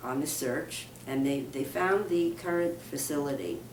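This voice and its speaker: Amid noticeable background noise and audible room echo, a woman with a very deep, low pitch speaks at a fairly slow pace with fairly even intonation. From New York. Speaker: minister. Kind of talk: interview.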